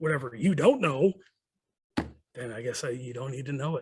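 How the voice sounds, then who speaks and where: A somewhat breathy man's voice, fairly high in pitch, at a moderate pace with big swings in loudness. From Chicago, Rogers Park. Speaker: motorcycle club president. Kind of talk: casual podcast chat. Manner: animated.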